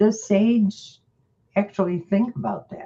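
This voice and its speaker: A woman speaks with a fairly high pitch and fairly even intonation. Her voice is somewhat breathy. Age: 80s+. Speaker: direct sales business leader. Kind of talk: group meeting coaching.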